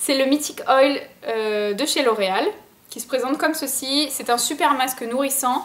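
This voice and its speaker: Her pitch moves in an ordinary way. It is a woman talking. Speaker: beauty vlogger. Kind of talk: product review vlog. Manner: fast; casual, filler-heavy.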